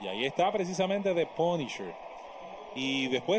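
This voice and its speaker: A man speaks with a Dominican accent. Noticeable background noise runs underneath. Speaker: baseball color commentator. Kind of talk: sports commentary, analyst color commentary. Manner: fluent, explanatory.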